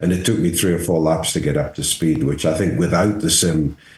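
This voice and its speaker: Vocal fry marks a man's voice as he talks at a fairly quick pace. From England, near Scottish border. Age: 70s. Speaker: race car driver. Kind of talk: casual interview chat.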